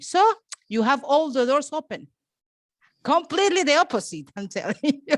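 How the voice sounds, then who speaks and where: Her pitch swings very widely as this woman speaks over a silent background in a very clean recording. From Venezuela. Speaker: petroleum engineer. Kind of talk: panel discussion.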